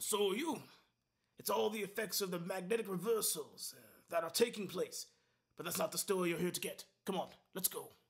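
A put-on character voice from a man, gruff and high-pitched, at a fairly quick pace with ordinary pitch variation and long, frequent pauses. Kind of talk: mock badly dubbed monster-movie acting. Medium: fan dub. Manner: gruff, impatient, sarcastic.

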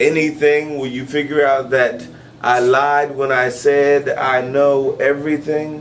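A man with a fairly high pitch speaks at a fairly slow pace. His intonation is monotone and flat, with light background noise. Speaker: spoken word poet and host. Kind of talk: intimate confessional love poem, spoken word. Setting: live venue. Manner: tender, yearning, alliterative cadence building through repetition; drawn-out, spelling words letter by letter for effect. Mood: intimate, expressive. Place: home room.

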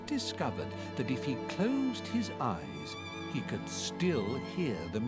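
The delivery here is an unforced reading voice.

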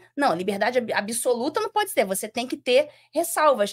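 In a Rio de Janeiro accent, a woman speaks with a high pitch and lively intonation over a quiet background. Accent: carioca. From Rio de Janeiro, Brazil. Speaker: former judge. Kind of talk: interview. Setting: studio. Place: studio. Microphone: studio mic.

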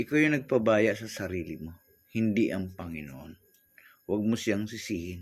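At a moderate pace, a plain, everyday voice comes through on a very clean recording against a silent background. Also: man, fairly low pitch for a man, lively intonation. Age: 60s. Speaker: vlogger. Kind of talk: inspirational monologue.

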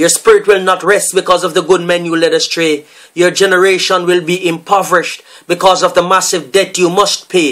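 Over a quiet background, a man speaks in a solemn tone at a fairly quick pace. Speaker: poet. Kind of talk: performed spoken-word poem, delivered as a fiery, accusatory protest piece. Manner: forceful, declamatory, rhythmic; solemn and indignant, with refrain-like repetition. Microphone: webcam.

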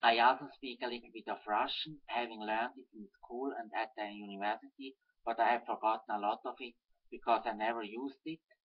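Against a quiet background, a man with a Swiss German accent talks at a fairly quick pace with fairly even intonation. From German-speaking Switzerland. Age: 30s. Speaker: political activist. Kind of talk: reading aloud. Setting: webcam recording. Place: home room. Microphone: webcam.

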